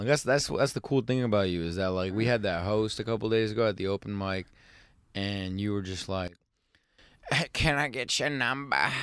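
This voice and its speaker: A man's fairly low voice at a moderate pace, lively in intonation, an ordinary speaking voice on a very clean recording with a silent background. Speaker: podcast host. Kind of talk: casual banter interview. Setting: in a van. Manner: joking, teasing.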